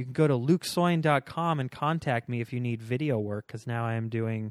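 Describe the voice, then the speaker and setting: In an ordinary speaking voice with an American accent and ordinary pitch variation, someone speaks at a fairly quick pace on a very clean recording with a silent background and a dry, close sound with no echo. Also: man. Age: 30s. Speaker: stand-up comedian and video maker. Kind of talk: casual chat.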